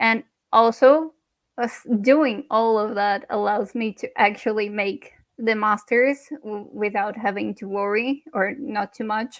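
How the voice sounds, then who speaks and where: A woman with a non-native accent speaks at a fairly slow pace in a fairly high pitch. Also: fairly even intonation. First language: not English. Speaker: NFT artist. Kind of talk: personal talk at online panel event.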